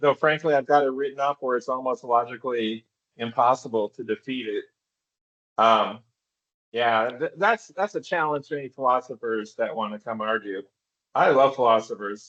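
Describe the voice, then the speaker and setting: A man of medium pitch uses a plain, everyday voice at a moderate pace, with ordinary pitch variation and a dry, close sound with no echo. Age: 60s. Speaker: philosophy author. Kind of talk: casual conversation.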